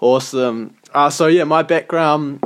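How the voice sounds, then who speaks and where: With a New Zealand accent, a man speaks at a very slow pace and fairly even intonation. Noticeable background noise sits behind him. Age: 20s. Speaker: podcast co-host. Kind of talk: casual chat.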